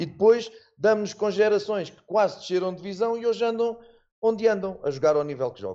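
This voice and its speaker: A man's high-pitched voice at a fairly quick pace, with ordinary pitch variation and big swings in loudness. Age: 50s. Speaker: football coach. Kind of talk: interview.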